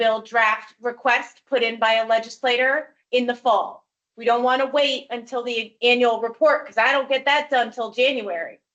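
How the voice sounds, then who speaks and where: A woman speaks loudly at a high pitch. Her intonation is monotone and flat. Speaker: executive director of a human rights commission. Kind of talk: public meeting discussion.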